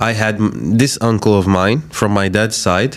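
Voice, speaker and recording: There is noticeable background noise as a man speaks in a fairly low voice. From Algeria. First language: Algerian Arabic. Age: 20s. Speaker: content creator. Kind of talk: podcast interview.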